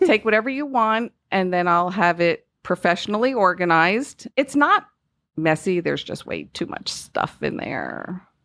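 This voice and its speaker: The speaker has a Northeastern US accent. The pace is moderate. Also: woman, medium pitch for a woman, lively intonation. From US Northeast. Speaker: home loan specialist. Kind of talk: podcast interview.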